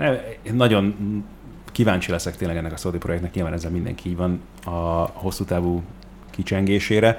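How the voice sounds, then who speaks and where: Though he talks at a fairly quick pace, this man with a very deep, low voice leaves long, frequent pauses. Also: ordinary pitch variation. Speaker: football podcast co-host. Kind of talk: casual chat.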